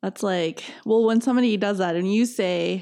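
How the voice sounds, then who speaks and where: A woman with a plain, everyday voice speaks at a fairly slow pace and medium pitch, with ordinary pitch variation and a quiet background. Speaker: podcast host. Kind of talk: casual chat.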